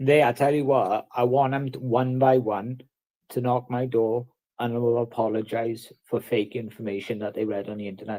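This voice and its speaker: With a South Wales accent, a man speaks at medium pitch and a moderate pace, his tone dark and mellow and his intonation fairly even. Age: 30s. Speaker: livestreamer. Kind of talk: casual chat.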